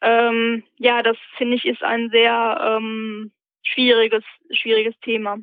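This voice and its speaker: The intonation is monotone and flat. A woman speaks at a very slow pace. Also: fairly high pitch for a woman. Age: 20s. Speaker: blogger with lived experience of schizophrenia, peer-support trainee. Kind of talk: interview. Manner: halting, many filler sounds.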